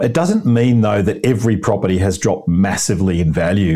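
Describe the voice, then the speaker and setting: This man talks at a very fast pace with an Australian accent and fairly low pitch. His tone is dark and mellow, with ordinary pitch variation. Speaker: buyer's advocate. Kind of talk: interview. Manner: upbeat.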